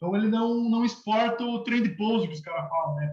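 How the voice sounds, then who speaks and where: There's audible room echo as a man speaks at a moderate pace. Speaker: university lecturer. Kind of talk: lecture.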